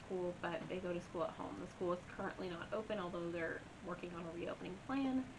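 Noticeable background noise behind a woman talking at a fairly quick pace. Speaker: beauty vlogger. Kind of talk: casual story time vlog chat. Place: home room.

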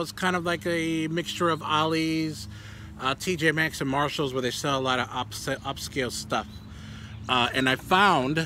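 A man speaks at a moderate pace, the sound dry with no echo and light noise in the background. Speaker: toy collector vlogger. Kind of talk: casual vlog chat. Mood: relaxed, enthusiastic. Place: garden. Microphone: phone near.

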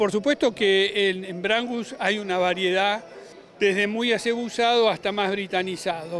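Light background noise sits under a man's high-pitched voice, which moves at a fairly slow pace with fairly even intonation in a dry sound with no echo. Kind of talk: interview answer. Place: stadium. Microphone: handheld.

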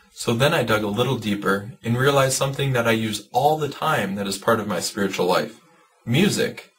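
This man speaks at a fairly quick pace with ordinary pitch variation. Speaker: church youth educator. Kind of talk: informational video talk. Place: home room. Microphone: webcam.

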